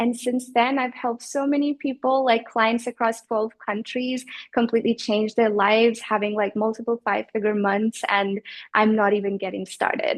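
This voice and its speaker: Fairly even intonation and a moderate pace from a woman with an unremarkable speaking voice, fairly high in pitch. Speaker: business coach. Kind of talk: interview answer.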